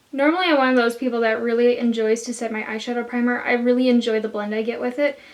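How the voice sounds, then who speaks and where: Amid noticeable background noise, a woman speaks at a very fast pace with a high pitch. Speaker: beauty youtuber. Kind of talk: tutorial. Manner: casual, chatty.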